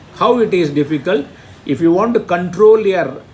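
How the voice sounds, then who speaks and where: The speech moves at a moderate pace with ordinary pitch variation, against noticeable background noise. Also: man. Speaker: Sanskrit teacher. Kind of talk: lecture.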